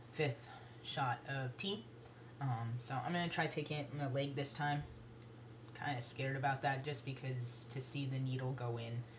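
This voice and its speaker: Amid noticeable background noise and audible room echo, a man with a medium pitch speaks at a moderate pace with fairly even intonation. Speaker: video blogger. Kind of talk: casual vlog update. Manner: hesitant, many fillers.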